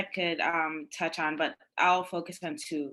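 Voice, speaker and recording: A woman's bright, sharp voice with a Guyanese accent, against a quiet background. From Guyana. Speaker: panelist, law clerk. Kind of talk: panel discussion. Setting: virtual summit. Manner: casual, many fillers.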